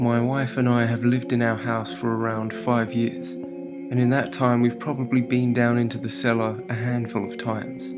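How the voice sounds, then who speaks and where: A man with a British accent speaks at a moderate pace with hardly any pauses, medium pitch, and ordinary pitch variation, with music in the background. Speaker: horror story narrator. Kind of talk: horror story narration.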